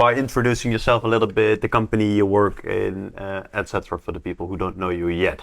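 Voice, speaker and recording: With a Dutch accent, a man talks at a fairly quick pace. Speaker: real estate agent, podcast host. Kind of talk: interview.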